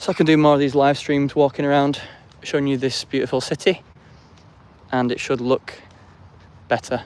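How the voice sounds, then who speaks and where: Speaking with an English accent in a flat, monotone, fairly high voice, a man talks at a fairly quick pace broken by long, frequent pauses, in a very clean recording with a silent background. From England. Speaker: live streamer. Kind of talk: casual vlog commentary while walking. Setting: outdoors, walking through city streets and park.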